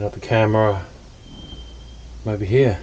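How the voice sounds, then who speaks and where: A man with fairly even intonation talks against noticeable background noise. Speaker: vlogger. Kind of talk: casual vlog monologue. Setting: in a camper van.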